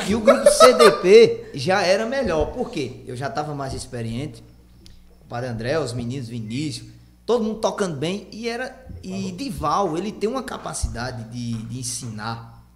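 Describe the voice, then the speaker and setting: A man speaks at a fairly high pitch with very wide swings in pitch, his voice carrying audible room echo over noticeable background noise. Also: moderate pace. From Pernambuco agreste, Brazil. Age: 20s. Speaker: accordionist and singer. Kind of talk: casual chat.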